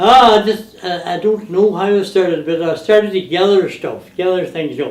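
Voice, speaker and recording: Through noticeable background noise, a man with a high pitch speaks at a moderate pace with fairly even intonation. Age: 80s+. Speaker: museum collector, retired power boat racer. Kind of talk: casual interview.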